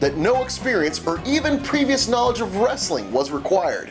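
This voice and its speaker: A man talks at a moderate pace. Background music accompanies him. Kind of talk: promotional video narration.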